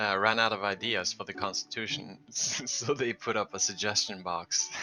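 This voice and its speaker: Over music in the background, a man with a non-native accent talks at a fairly low pitch. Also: ordinary pitch variation, moderate pace. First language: not English. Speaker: gaming video creator. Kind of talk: let's play commentary. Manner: casual, halting.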